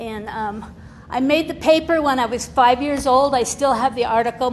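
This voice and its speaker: Over noticeable background noise, a woman talks in a high pitch at a moderate pace with ordinary pitch variation. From Utah (born in Nevada, moved at six). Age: 70s. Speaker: recovering alcoholic, guest speaker. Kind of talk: testimony. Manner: casual, chatty.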